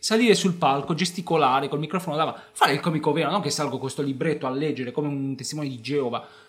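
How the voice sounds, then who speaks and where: Talking at a very fast pace with hardly any pauses, a man in a fairly high pitch sounds animated and somewhat breathy, his pitch varying in an ordinary way. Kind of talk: stand-up comedy, joking and storytelling about his own early sets. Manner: animated, punchline-driven, self-mocking, fast and conversational; emphatic, repeating lines for comic effect.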